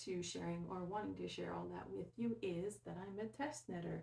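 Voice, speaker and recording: Here a woman talks at a moderate pace. Her pitch sits in the medium range. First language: French. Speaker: knitting podcaster, test knitter. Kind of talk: casual podcast monologue. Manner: hesitant, many fillers.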